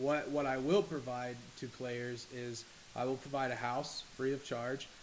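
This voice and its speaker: The delivery is monotone, with flat intonation. Noticeable background noise runs underneath. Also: man. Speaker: esports team owner. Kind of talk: explainer monologue to camera. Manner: halting, stuttering. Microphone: poor recording quality.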